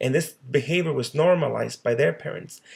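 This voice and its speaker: This man's voice has vocal fry. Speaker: social worker. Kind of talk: presentation. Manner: halting.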